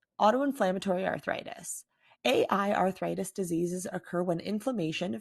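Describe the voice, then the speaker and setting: On a very clean recording with a silent background, a woman with vocal fry talks at a moderate pace with medium pitch and ordinary pitch variation. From Canada. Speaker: patient advocate. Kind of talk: scripted narration; interview.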